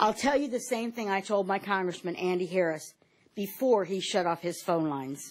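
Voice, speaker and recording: In an American accent, a woman with an unremarkable speaking voice talks at a moderate pace and medium pitch with lively intonation. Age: 60s. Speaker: patient giving testimony, substitute teacher. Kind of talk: testimony. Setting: Senate panel hearing room.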